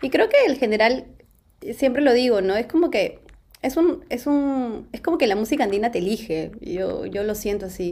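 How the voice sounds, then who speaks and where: At a moderate pace, a woman with a normal speaking voice talks in a fairly high pitch with lively intonation. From Peru. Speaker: singer. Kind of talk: casual interview.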